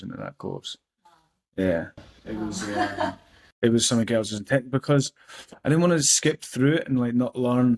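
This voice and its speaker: A man talks at a moderate pace with long, frequent pauses, his medium pitch showing ordinary variation. The sound is dry and close, with no echo. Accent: Scottish. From Scotland. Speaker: personal development coach. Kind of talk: casual interview answer.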